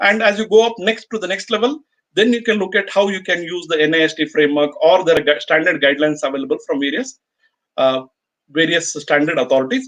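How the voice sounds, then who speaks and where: A man with an Indian accent talks at a very fast pace with lively intonation. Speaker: chartered accountant presenting a webinar. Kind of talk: webinar Q&A. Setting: online webinar.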